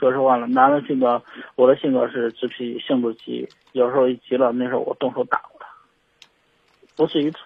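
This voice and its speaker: A man talks with monotone, flat intonation. His pitch is medium. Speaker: caller seeking marriage advice. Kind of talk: phone-in confession. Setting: phone call. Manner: halting, hesitant. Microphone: phone with earphones, poor sound.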